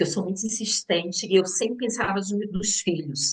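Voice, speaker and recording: The speaker sounds somewhat breathy, talking at a fairly slow pace with ordinary pitch variation. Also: woman. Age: 60s. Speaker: businesswoman and teacher sharing health story. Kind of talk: testimony.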